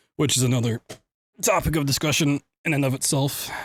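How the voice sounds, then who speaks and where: A somewhat breathy man talks at a fairly quick pace and medium pitch. The sound is dry and close, with no echo. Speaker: speedrunner streamer. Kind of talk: casual livestream chat. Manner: soft-spoken.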